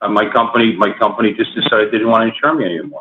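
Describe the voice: Very fast, a man speaks at fairly low pitch with ordinary pitch variation and a slightly husky edge.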